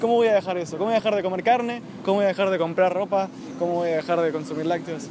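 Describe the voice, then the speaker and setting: A man's high voice at a very fast pace, with ordinary pitch variation, a dry sound with no echo and noticeable background noise. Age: 20s. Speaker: vegan activist speaker. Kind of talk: public talk. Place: garden. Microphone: phone near.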